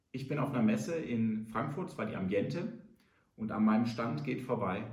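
With audible room echo, a man speaks at a fairly slow pace in a somewhat breathy voice with very wide pitch swings. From Rhineland, Germany. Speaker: entrepreneur. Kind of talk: business advice monologue.

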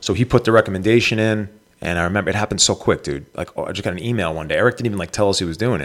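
A man with a fairly low pitch speaks at a very fast pace, his pitch varying in an ordinary way. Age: 30s. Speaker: stand-up comedian. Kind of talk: casual chat. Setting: live stream video call.

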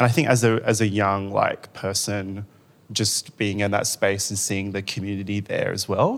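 A man speaks at a moderate pace in an Australian accent. His pitch sits fairly low. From Western Australia (Rockingham). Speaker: arts manager and writer. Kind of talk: panel discussion. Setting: stage with audience.

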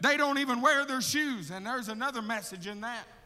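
In an Alabama accent, a man talks in an animated tone at a fairly quick pace, his voice raised and projected. His pitch varies in an ordinary way, and audible room echo surrounds him. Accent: Southern US (Alabama). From US South, Alabama. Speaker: missionary. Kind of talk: sermon. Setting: church.

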